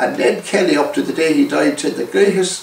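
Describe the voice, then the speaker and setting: Amid audible room echo, a man with an Irish accent speaks at a moderate pace with very wide pitch swings. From Ireland. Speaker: former Irish republican activist. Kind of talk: interview storytelling. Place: home room. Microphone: camera far.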